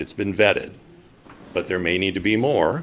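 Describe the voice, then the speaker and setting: Very deep and low, this man's voice carries vocal fry. He talks at a fairly quick pace with lively intonation. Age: 60s. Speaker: public commenter. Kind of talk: public testimony at council meeting. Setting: city council meeting.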